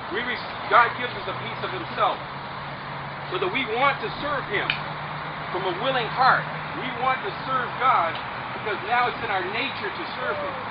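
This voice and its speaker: A man speaks at a moderate pace with long, frequent pauses over loud background noise. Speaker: preacher, street minister. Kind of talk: sermon to a group outdoors before a baptism. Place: beach. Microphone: camera far.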